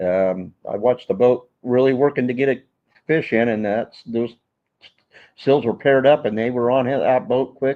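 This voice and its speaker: This man has a normal speaking voice with an American accent, a medium pitch, ordinary pitch variation and a moderate pace. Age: 60s. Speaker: veteran local angler. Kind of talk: casual chat on live stream. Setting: in the store, live stream.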